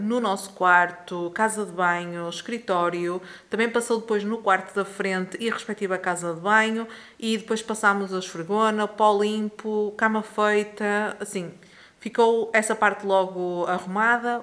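Fairly slow, fairly even speech from a woman. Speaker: home vlogger. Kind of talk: casual vlog chat. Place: home room. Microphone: phone near.

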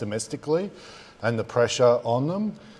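He speaks with an Australian accent. The voice belongs to a man. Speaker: trade diplomat; panelist. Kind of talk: panel discussion. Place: hall. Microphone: lapel.

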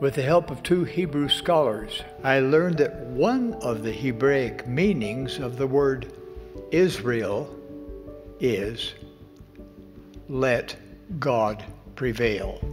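Very slow delivery broken by long, frequent pauses, with clear music in the background. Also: man. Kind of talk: sermon. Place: hall. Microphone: podium.

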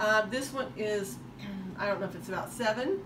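A woman speaks at a moderate pace with ordinary pitch variation. Noticeable background noise runs behind her. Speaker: estate sale reseller. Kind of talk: casual show-and-tell vlog. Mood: enthusiastic about bargains. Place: home room. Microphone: phone near.

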